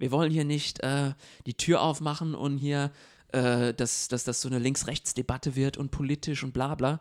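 In a very clean, dry, close recording with a silent background and no echo, a man with a fairly high voice speaks at a moderate pace in a monotone, flat intonation. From abroad, immigrant to Germany. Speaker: podcast co-host. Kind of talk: casual discussion.

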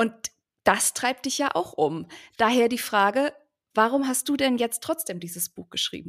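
A woman's fairly high, lively voice at a moderate pace, with long, frequent pauses, in a dry, close sound with no echo. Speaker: podcast co-host. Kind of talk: interview conversation.

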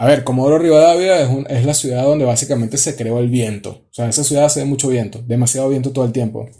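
Very fast speech with hardly any pauses comes through in a dark, mellow tone that is somewhat breathy. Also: man, medium pitch for a man. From Venezuela. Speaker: audiovisual producer. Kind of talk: casual chat.

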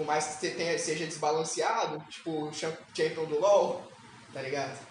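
With noticeable background noise and audible room echo, the speaker talks at a fairly slow pace in an animated tone. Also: man. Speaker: podcast co-host. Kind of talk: casual chat.

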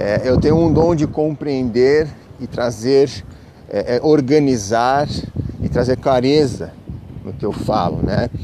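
A man's medium-pitched voice at a very slow pace, with long, frequent pauses, ordinary pitch variation and noticeable background noise. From Brazil, São Paulo city. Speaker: spiritual podcaster. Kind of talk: casual spiritual monologue. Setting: outdoors, walking to the beach. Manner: halting, many fillers.

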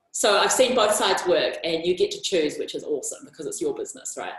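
A woman speaks loudly at a fairly quick pace. Her pitch swings very widely. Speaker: branding and visibility coach. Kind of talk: interview conversation.

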